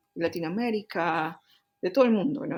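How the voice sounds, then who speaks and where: Somewhat breathy, a woman speaks fairly quickly with lively intonation. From Peru, Cusco. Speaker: engineering director and researcher. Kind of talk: interview. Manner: hesitant fillers.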